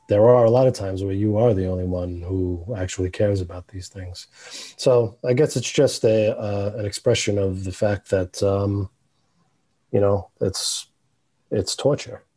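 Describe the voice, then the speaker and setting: In a New York accent, the speaker has a dark, mellow tone that is somewhat breathy, with fairly even intonation. The pace is moderate and the background quiet. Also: man, fairly low pitch for a man. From New York City, The Bronx. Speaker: animator, filmmaker. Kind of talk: interview answer.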